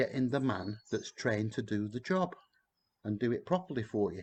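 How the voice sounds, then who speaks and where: A man speaks at a moderate pace in a medium-pitched, somewhat breathy voice. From northern England, Blackburn, Lancashire. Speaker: tour guide. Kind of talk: casual live-stream chat. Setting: outdoors in back garden.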